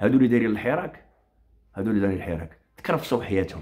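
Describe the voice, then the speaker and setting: In a quiet setting, a man with a fairly low voice speaks in an animated tone. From Morocco. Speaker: online commentator; commentator. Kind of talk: political rant on a live stream. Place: home room. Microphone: phone near.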